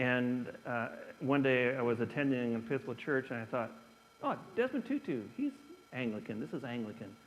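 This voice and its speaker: In an American accent, a man with a plain, everyday voice speaks at a moderate pace and medium pitch with fairly even intonation. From US Midwest, northern Indiana. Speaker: bishop. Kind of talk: Q&A talk.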